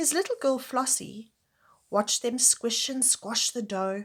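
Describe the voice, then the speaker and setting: Somewhat breathy and in a warm, gentle tone, a woman talks at a fairly slow pace on a very clean recording with a silent background. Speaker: grandmother reading to children. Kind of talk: children's book read-aloud. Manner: warm, gentle, addressing children.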